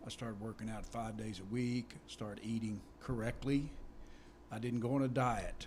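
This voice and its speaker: Moderate pace and medium pitch from a male speaker, with room echo audible. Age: 60s. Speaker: hunter. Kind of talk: casual chat. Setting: studio.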